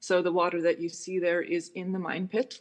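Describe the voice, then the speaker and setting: Against a quiet background, the speaker talks at a moderate pace with a Minnesota accent. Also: woman. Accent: Upper Midwest (Minnesota) American. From US Midwest, Hibbing, Minnesota. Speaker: musician and composer. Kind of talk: Q&A after a presentation.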